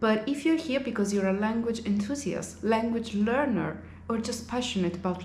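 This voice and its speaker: Room echo is audible in this clip. A woman talks at a moderate pace. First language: Italian. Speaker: language teacher and vlogger. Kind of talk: casual vlog monologue.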